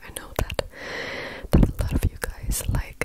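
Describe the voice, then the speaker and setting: A woman whispers at a fairly slow pace. Her tone is gentle. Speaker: ASMR creator. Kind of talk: ASMR mouth sounds and rambling to camera. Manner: soft, gentle, repeated words as a trigger. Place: home room. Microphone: handheld.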